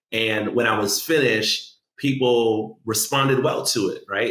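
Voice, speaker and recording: A man with an American accent speaks at a moderate pace in an ordinary speaking voice, with fairly even intonation. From Guyanese heritage, Orlando, USA. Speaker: spoken word poet, city poet laureate. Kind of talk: interview answer telling personal story. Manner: conversational, casual.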